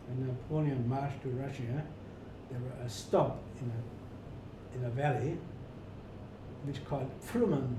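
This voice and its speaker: There is audible echo from the room along with noticeable background noise. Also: man. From rural Germany. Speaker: retired hotel manager. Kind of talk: interview. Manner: halting, repetitive.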